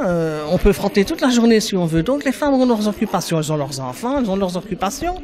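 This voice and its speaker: Over noticeable background noise, a man speaks at a fairly quick pace in a high voice with very wide pitch swings. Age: 60s. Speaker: unemployed person interviewed. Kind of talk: interview.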